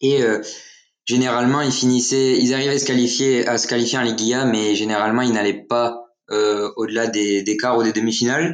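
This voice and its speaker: In a normal speaking voice, a man talks at a fairly quick pace with medium pitch, fairly even intonation and very even loudness. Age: young. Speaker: football social media account runner. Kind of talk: casual chat.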